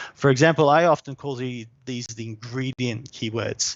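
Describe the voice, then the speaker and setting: Speaking with an Australian accent, a man holds a medium pitch. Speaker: SEO specialist. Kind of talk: live webinar tutorial. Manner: casual, hesitant with fillers.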